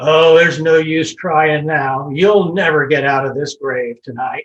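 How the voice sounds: A man puts on a character voice, fairly high in pitch, and talks at a moderate pace.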